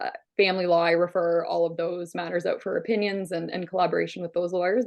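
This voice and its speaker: The speaker has a Canadian accent and a fairly quick pace. The intonation stays fairly even. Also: woman. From southwestern Ontario, Canada. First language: Hungarian. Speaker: criminal defence lawyer. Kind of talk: interview.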